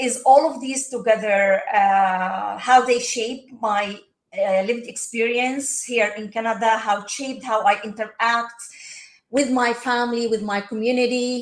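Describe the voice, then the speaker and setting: In an Arabic accent, a woman speaks at a fairly slow pace with fairly high pitch, fairly even intonation and big swings in loudness. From Palestine. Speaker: social work professor. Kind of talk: podcast interview. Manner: hesitant, many fillers.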